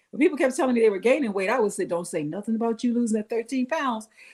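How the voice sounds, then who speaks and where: This woman has a plain, everyday voice with a fairly high pitch. Her intonation is lively. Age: 60s. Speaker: small business owner. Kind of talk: casual chat.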